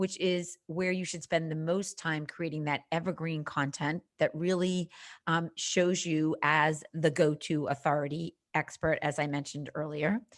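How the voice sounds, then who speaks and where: Flat, monotone intonation at a fairly slow pace, on a very clean recording with a silent background. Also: woman, very deep, low pitch for a woman. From Boston, Massachusetts. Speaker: social media marketing coach. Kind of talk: podcast interview.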